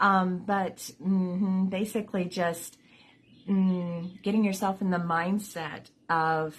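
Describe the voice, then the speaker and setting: Somewhat breathy and fairly low, the woman's voice keeps a fairly even intonation. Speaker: vlogger with chronic illness. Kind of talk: casual vlog talk. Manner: halting, many fillers.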